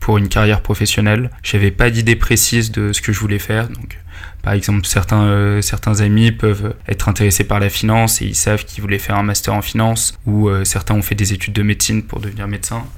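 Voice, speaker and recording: The man's voice is fairly low in pitch and moves at a fairly quick pace. His intonation stays monotone and flat. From Paris, France. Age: 20s. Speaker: employee of a gaming company. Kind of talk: podcast interview. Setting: meeting room.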